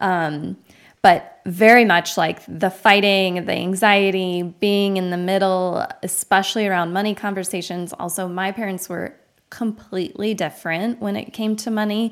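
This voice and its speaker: A woman with a normal speaking voice and an American accent, medium pitch, fairly even intonation and a moderate pace. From Arizona, US. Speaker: podcast host. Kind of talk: casual interview chat. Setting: video call.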